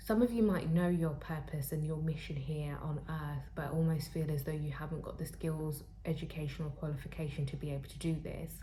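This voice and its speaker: Very deep, low woman's voice, dark, mellow and somewhat breathy, at a fairly quick pace with hardly any pauses and audible room echo. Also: fairly even intonation. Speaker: tarot reader; spiritual counselor. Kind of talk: tarot reading to camera. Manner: halting, with fillers.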